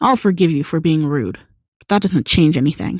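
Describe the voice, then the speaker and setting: The speaker uses a put-on character voice at a middle pitch. The pace is fairly quick. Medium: read story. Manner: cold, curt, commanding.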